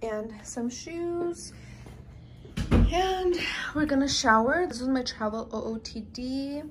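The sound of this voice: At a slow pace, a woman speaks with a high pitch and ordinary pitch variation.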